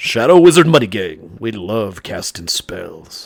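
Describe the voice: A man does a put-on character voice, gravelly and at medium pitch. He moves through very wide pitch swings at a fairly slow pace.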